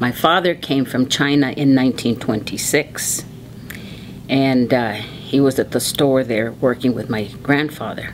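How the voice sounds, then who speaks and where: A woman with a Southwestern US accent, her pitch very deep and low, at a fairly slow pace over noticeable background noise. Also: fairly even intonation. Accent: American, Southwest. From Arizona, Tucson. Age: 70s. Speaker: oral history interviewee. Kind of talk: oral history interview.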